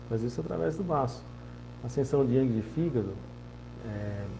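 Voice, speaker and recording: A man at a moderate pace, with audible room echo. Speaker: acupuncturist and Chinese medicine teacher. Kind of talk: informal lecture. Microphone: poorly positioned microphone.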